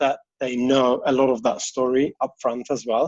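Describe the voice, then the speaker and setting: A man with a non-native accent, a dark, mellow tone and a moderate pace. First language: not English. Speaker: interior designer. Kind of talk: interview. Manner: casual, hesitant with fillers.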